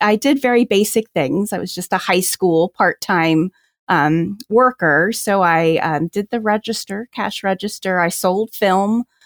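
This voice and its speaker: A woman with an unremarkable speaking voice and an American accent talks at a fairly slow pace and medium pitch, with ordinary pitch variation. The sound is dry and close with no echo, on a very clean recording with a silent background. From New Jersey. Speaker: special education professor and photographer. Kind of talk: casual interview chat.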